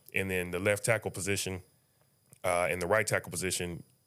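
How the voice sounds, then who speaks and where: With an American accent, a man speaks fairly quickly in a very deep, low pitch and a flat, monotone delivery. His tone is bright and sharp, and the recording is very clean with a silent background. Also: long, frequent pauses. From Indiana (Muncie, Indianapolis). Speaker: sports journalist. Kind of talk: casual interview. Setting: studio.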